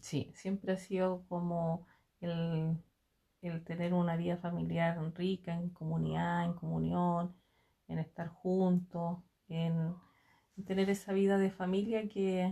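The voice moves at a fairly slow pace in a flat monotone, its tone dark and mellow and somewhat breathy. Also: woman. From Chile, Aconcagua valley (Santa María, Tocornal). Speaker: interviewee, mother of the interviewer. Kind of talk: casual family interview. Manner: hesitant, with fillers and repetitions.

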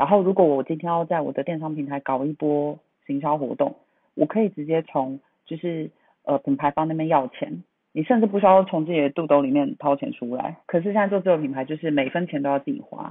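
Very deep and low in pitch, a woman speaks at a fairly quick pace with ordinary pitch variation. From Taipei, Taiwan. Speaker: brand marketing professional. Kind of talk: casual chat. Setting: remote call recording. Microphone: different sound quality from host, remote line.

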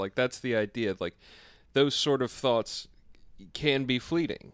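A man at medium pitch, fairly slow pace and ordinary pitch variation, a plain, everyday voice. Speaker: podcast co-host. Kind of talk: casual banter podcast chat. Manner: jokey, interrupts.

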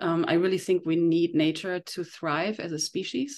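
Against a quiet background, a woman speaks at a moderate pace with a fairly low pitch and monotone, flat intonation. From Germany. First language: German. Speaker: detox specialist and iridologist. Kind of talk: interview. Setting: remote call.

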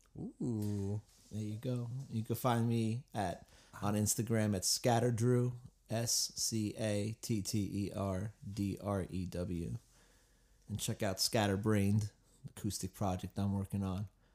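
This man has a dark, mellow tone and a fairly low pitch, speaking fairly slowly with fairly even intonation in an American accent. The recording is very clean, with a silent background. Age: 20s. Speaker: musician and guitar teacher. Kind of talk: casual podcast chat.

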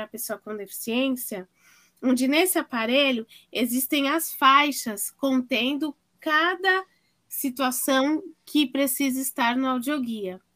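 A woman's high, bright, sharp voice comes through on a very clean recording with a silent background. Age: 40s. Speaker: audio description consultant. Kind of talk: interview.

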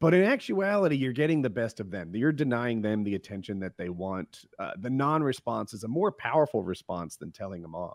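An unremarkable speaking voice from a man with an American accent, medium in pitch, at a fairly quick pace with hardly any pauses and big swings in loudness, on a very clean recording with a silent background. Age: 40s. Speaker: podcast host and gamer. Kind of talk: casual chat.

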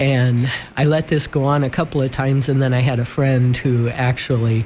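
A man with a Midwestern US accent speaks at a moderate pace in a medium pitch, his somewhat breathy voice keeping a fairly even intonation on a very clean recording with a silent background. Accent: US Midwest. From Sioux City, Iowa. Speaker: friend of guest. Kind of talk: casual chat.

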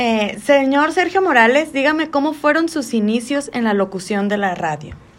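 A woman's high voice with very wide pitch swings. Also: moderate pace. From Magdalena de Kino, Sonora, Mexico. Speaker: student interviewer. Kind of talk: interview.

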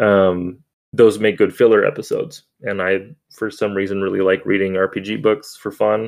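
A man with an American accent, monotone and flat in intonation, at a moderate pace. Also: fairly low pitch for a man. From Minnesota, US. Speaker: podcast host. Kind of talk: podcast recap conversation.

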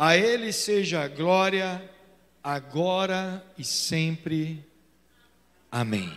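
Amid audible room echo, a man with a high pitch and ordinary pitch variation speaks at a very slow pace with long, frequent pauses. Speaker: pastor. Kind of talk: sermon. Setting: church. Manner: animated.

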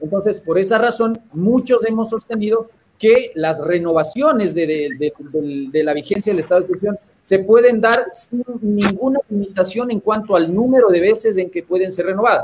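A high male voice at a moderate pace. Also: ordinary pitch variation. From Ecuador. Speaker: constitutional lawyer. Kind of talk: interview. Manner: halting.

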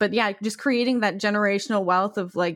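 In a normal speaking voice, a woman talks at a fairly quick pace with fairly even intonation, on a very clean recording with a silent background and a dry, close sound with no echo. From Canada, Guyanese parents. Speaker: comedian and podcast co-host. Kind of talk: casual chat.

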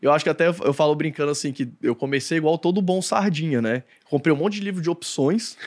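A man speaks at a very fast pace with a fairly high pitch and ordinary pitch variation. The recording is very clean, with a silent background. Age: 30s. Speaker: investment analyst and content creator. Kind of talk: casual chat.

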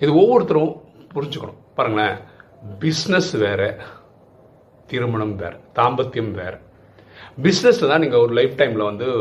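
A man with a fairly high voice speaks with lively intonation. Audible room echo surrounds him. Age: 50s. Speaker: YouTube advice speaker. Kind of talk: monologue advice talk. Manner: conversational.

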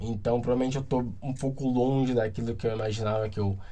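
Room echo is audible around a man with a medium pitch. His voice has a dark, mellow tone and sounds somewhat breathy. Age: 20s. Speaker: podcaster. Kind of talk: casual solo monologue.

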